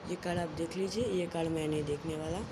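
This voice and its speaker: Against loud background noise, a man speaks at a fairly slow pace. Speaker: magic tutorial host. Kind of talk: casual card trick tutorial to camera. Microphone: phone near.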